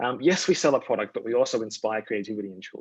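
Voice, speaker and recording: A man talks at a very fast pace with an Australian accent. The sound is dry and close, with no echo. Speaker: communications strategist at a toy company. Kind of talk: presentation talk. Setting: virtual event.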